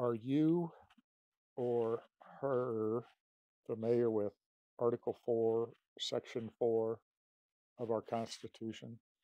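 Very slow, very evenly loud speech with long, frequent pauses, a dark, mellow tone, fairly even intonation, dry sound with no echo and a quiet background. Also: man. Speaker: caller. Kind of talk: phone call conversation. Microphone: phone near.

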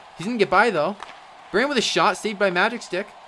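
Against noticeable background noise, a man talks very fast in an animated, upbeat tone. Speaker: sports commentator. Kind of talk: live play-by-play sports commentary for a Minecraft hockey game. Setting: live stream. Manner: rapid-fire, clipped play-by-play, animated and upbeat.

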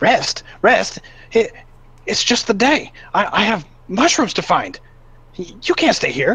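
A female-sounding put-on character voice with a fairly high pitch. It moves at a very slow pace with long, frequent pauses. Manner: agitated, defensive, easily offended; screaming out in protest.

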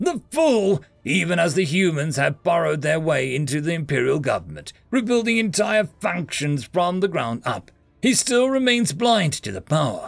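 A man's put-on character voice, fairly high-pitched, with big pitch swings and vocal fry. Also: moderate pace, few pauses.

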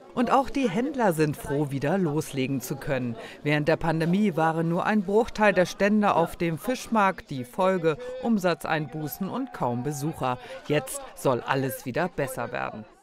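There is noticeable background noise as a man talks. His fairly high voice moves in very wide pitch swings. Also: moderate pace. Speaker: news reporter. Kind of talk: TV news voice-over.

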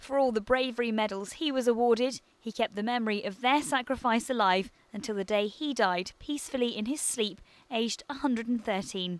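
A woman with a British accent, lively intonation and big swings in loudness at a moderate pace. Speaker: news reporter. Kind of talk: news reading, scripted TV news report narration. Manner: formal, measured, steady broadcast delivery.

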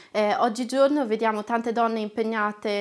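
A woman speaks at a moderate pace, her pitch fairly high. Her intonation stays fairly even against a quiet background. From northern Italy, Lombardy (Castiglione delle Stiviere); Lombardy, Italy. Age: 20s. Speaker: trainee lawyer and activist; trainee lawyer. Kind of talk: personal testimony to camera. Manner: hesitant, frequent filler sounds. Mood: warm, reflective. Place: studio.

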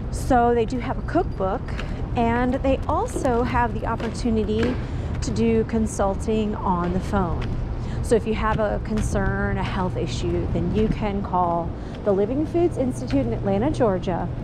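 The woman talks at a moderate pace while loud background noise fills the clip. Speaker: vlogger. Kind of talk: casual vlog chat. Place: street. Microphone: phone near.

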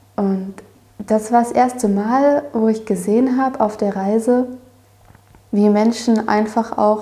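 At a very slow pace, a woman speaks with monotone, flat intonation. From Erzgebirge, Saxony, Germany. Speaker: apprentice gardener. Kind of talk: casual interview. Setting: tea kitchen of a dairy, interview.

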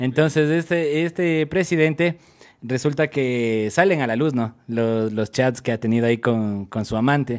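Featuring a normal speaking voice, a man of medium pitch talks at a fairly slow pace with ordinary pitch variation against a quiet background. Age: 20s. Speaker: radio host. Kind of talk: casual chat. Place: studio. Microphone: studio mic.

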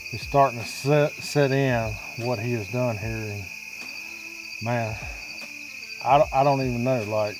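Over noticeable background noise, a man speaks at a fairly slow pace in a dry sound with no echo. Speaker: adult hunting guide. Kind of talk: excited hunt commentary. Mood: excited, emotional. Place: forest.

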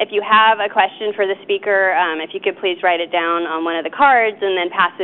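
At a fairly quick pace, a woman talks with fairly even intonation in an unremarkable speaking voice. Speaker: event organizer at a wildlife agency. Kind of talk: lecture introduction. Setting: stage with audience. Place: hall.

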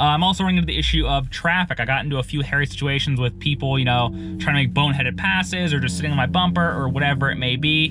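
Talking at a very fast pace, a man leaves hardly any pauses. The sound is dry with no echo, but there is noticeable background noise. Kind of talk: casual vlog chat.

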